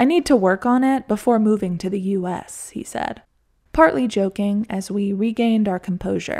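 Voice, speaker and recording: A woman with a normal speaking voice talks at a fairly high pitch and a moderate pace, with ordinary pitch variation. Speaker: podcast narrator. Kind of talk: scripted narration, personal essay storytelling.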